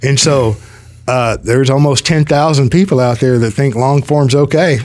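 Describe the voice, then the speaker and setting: With an unremarkable speaking voice, a man talks at a medium pitch and moderate pace, showing ordinary pitch variation and very even loudness. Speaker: podcast host. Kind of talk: casual chat.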